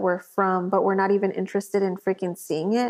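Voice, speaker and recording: A woman with an American accent, medium pitch and a fairly quick pace. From Corpus Christi, Texas. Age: 30s. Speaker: artist and entrepreneur. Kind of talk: casual interview chat. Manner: animated.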